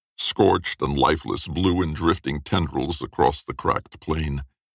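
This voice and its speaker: The background is quiet as a man speaks. His very deep, low voice carries vocal fry. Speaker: audiobook narrator. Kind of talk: audiobook fiction narration.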